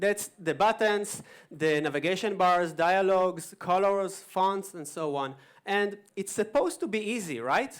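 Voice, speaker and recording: A man with an American accent and a high pitch, ordinary pitch variation and a fairly slow pace, on a very clean recording with a silent background. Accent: thick Israeli accent, sometimes American. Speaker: conference speaker, web developer. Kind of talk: conference talk. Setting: stage with audience.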